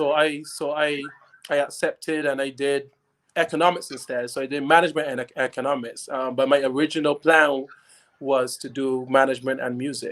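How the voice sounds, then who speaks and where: A man with a fairly high pitch speaks at a fairly quick pace in a monotone, flat intonation. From Barbados. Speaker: classical singer. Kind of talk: interview. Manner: halting, many repeated words.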